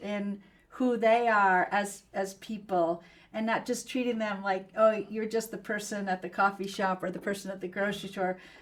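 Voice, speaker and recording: Fairly high in pitch, a woman speaks at a moderate pace with fairly even intonation. She has a normal speaking voice. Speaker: PR executive and podcast host. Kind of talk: interview conversation.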